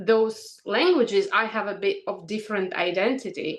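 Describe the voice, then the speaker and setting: Fairly slow speech with lively intonation in a Russian accent. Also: woman. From Ukraine. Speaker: English teacher. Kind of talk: casual chat. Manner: halting.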